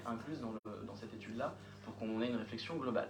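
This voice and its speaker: At a fairly quick pace, a man speaks at medium pitch with audible room echo and noticeable background noise. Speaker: municipal official presenting a project. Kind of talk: council meeting answer to questions. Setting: municipal council meeting. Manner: fast; hesitant, many fillers.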